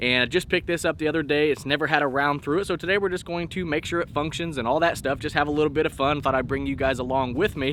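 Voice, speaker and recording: Fairly high-pitched, a man talks at a very fast pace with ordinary pitch variation and hardly any pauses. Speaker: gun channel host. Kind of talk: casual vlog commentary at the range. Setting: outdoor shooting range. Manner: soft-spoken.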